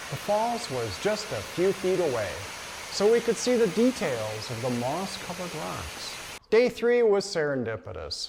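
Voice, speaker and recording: Very wide pitch swings run through this fairly slow delivery, with noticeable background noise behind it. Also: man. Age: 70s. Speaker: hiker and vlogger. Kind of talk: scripted narration.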